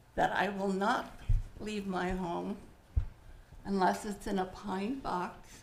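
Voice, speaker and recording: A woman speaking very slowly, with noticeable background noise and audible room echo. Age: 70s. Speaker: local resident testifying at council. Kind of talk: public comment testimony. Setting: city council chambers.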